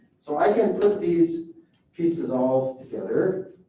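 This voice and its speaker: This man's voice has a dark, mellow tone. Audible room echo surrounds it. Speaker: professor. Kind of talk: lecture.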